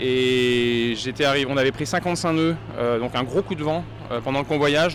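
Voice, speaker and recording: Amid noticeable background noise, the speaker talks at a moderate pace with fairly even intonation. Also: man. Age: 40s. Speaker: professional sailor, former journalist. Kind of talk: interview. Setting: race start village.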